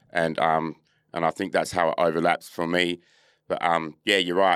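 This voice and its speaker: A man's very deep, low voice at a very fast pace, monotone and flat, in a dry, close, very clean recording with a silent background. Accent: Australian. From Australia, Adelaide then Perth. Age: 40s. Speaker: footballer and musician. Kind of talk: casual interview.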